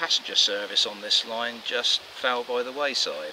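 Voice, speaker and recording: A man delivers his words at medium speed while noticeable noise runs behind him. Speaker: presenter. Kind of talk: walking tour commentary. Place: forest.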